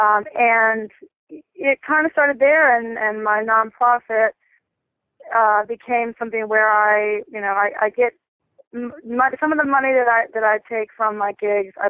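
A woman with an American accent and an unremarkable speaking voice, at a fairly slow pace with ordinary pitch variation. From North Carolina, US. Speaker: musician. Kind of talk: interview. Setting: phone call.

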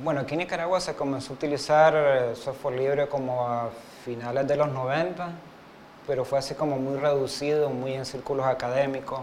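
With audible room echo around him, a man speaks at a moderate pace and a fairly high pitch. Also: fairly even intonation. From Uruguay, Montevideo. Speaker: web developer. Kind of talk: interview. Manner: hesitant, many fillers.

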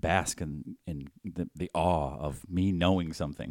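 A man with an American accent and a very deep, low voice, recorded with a dry, close sound and no echo. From Boston, Massachusetts. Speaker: podcast co-host. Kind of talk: casual chat.

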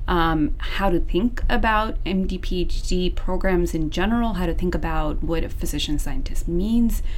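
A woman with an American accent talks at a fairly slow pace with hardly any pauses, her medium pitch showing ordinary variation and her loudness very even. Noticeable background noise and audible room echo surround her voice. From US, Seattle area. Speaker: medical resident. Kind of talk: interview.

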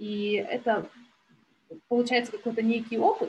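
A woman's fairly high, somewhat breathy voice at a moderate pace. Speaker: business tracker and marketer. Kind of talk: interview podcast conversation.

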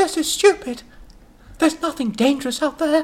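A put-on character voice, high in pitch, comes at a moderate pace.

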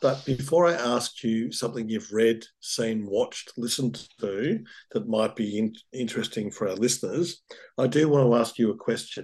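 This man has an Australian accent and a medium pitch. His pace is moderate, with ordinary pitch variation. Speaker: urban planner. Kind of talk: interview.

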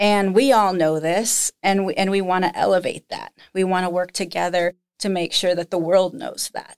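With a plain, everyday voice of medium pitch, a woman talks at a moderate pace with fairly even intonation and hardly any pauses, on a very clean recording with a silent background. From United States, moved around the country. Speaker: museum director. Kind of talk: interview.

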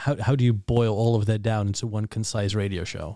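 The voice has a dark, mellow tone and fairly even intonation, recorded very cleanly with a silent background and a dry, close sound with no echo. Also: man. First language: Dutch. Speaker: podcast host. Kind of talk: casual interview chat.

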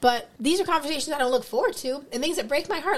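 A woman speaks with an American accent at a high pitch. Noticeable background noise can be heard. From US East Coast. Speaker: educator. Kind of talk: casual chat.

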